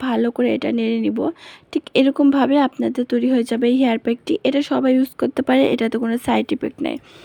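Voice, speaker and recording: A woman is speaking, with noticeable background noise. The sound is dry and close, with no echo. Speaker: beauty and home tips vlogger. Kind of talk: tutorial.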